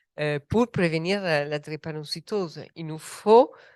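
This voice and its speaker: In an Italian accent, a woman speaks very slowly at a fairly low pitch with ordinary pitch variation. The sound is dry and close with no echo, over a quiet background. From Italy. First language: Italian (speaking French). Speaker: medical doctor, researcher. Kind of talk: panel discussion. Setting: round table with audience.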